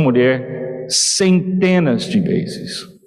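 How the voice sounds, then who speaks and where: Fairly high-pitched with ordinary pitch variation, a man speaks amid noticeable background noise and audible room echo. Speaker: visiting preacher. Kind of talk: sermon.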